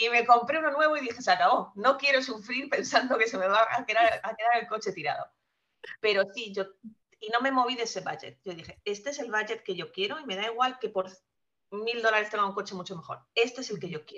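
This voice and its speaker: A woman with a bright, sharp tone speaks at a fairly quick pace, showing ordinary pitch variation and big swings in loudness. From Spain. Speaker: guest sharing personal finance story. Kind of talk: casual interview.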